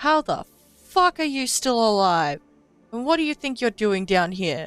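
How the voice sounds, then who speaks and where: In a put-on character voice with a female sound, someone shouts at a moderate pace, pitched fairly high for a woman with very wide pitch swings. Faint music plays in the background. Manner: shouting, hostile.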